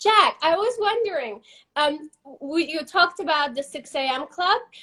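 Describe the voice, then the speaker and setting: A woman speaks at a moderate pace in a raised, projected voice, her extremely high pitch swinging very widely with a bright, sharp tone. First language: not English. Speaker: interviewer for a company. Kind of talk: casual interview on live stream. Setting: Instagram live video.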